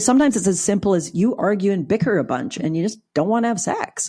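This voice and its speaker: A woman speaks at a fairly quick pace with lively intonation. Her tone is dark and mellow. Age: 60s. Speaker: clinical psychologist and sex therapist. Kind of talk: podcast interview.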